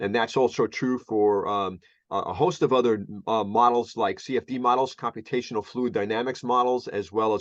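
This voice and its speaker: The background is quiet. Speech moves at a fairly quick pace with fairly even intonation. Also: man. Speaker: research engineer and meteorologist giving a talk. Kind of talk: lecture. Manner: fast; halting, many fillers.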